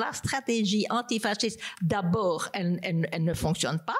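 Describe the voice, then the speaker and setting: At medium pitch with ordinary pitch variation, a woman speaks in an unremarkable speaking voice. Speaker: political philosopher and professor. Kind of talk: panel debate. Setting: stage with audience.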